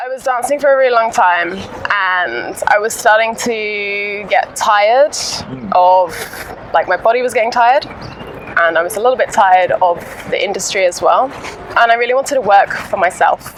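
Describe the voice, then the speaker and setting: A woman's fairly high voice in an English accent, at a moderate pace, with noticeable background noise. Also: ordinary pitch variation. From England. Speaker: personal trainer. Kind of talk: interview answer.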